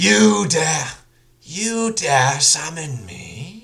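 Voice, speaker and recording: A man puts on a character voice, pitched fairly high and swinging very widely in pitch. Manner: menacing.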